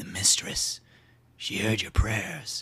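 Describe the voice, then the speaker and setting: A raspy, put-on character voice from a man. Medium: read story. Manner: terse, flat, unhurried.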